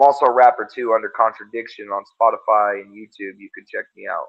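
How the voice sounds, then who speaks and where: This man has an unremarkable speaking voice, medium in pitch, talking at a fairly quick pace with fairly even intonation. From Montana. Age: 30s. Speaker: magazine publisher and rapper. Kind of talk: casual interview.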